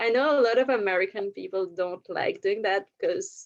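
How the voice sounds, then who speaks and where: In a French accent, a woman talks at a fairly quick pace. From Belgium. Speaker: podcast guest. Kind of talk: casual chat.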